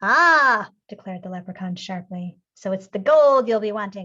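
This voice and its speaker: A woman performs a put-on character voice at a medium pitch. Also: moderate pace. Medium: read story. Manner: lively, sharp.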